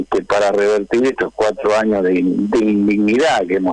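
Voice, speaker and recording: A man with a fairly low pitch and fairly even intonation speaks at a moderate pace over noticeable background noise. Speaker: trade union leader. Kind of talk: radio interview.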